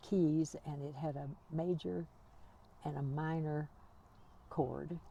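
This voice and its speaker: A woman speaks at a very slow pace, her voice very deep, dark, mellow and somewhat breathy, with ordinary pitch variation. Long, frequent pauses break up her speech. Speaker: author and educator. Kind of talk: interview answer.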